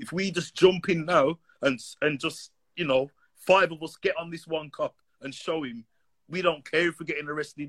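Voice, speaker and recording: In a plain, everyday voice, the speaker keeps a moderate pace and fairly even intonation with big swings in loudness, in a dry, close sound with no echo. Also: man, fairly high pitch for a man. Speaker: caller. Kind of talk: call-in conversation.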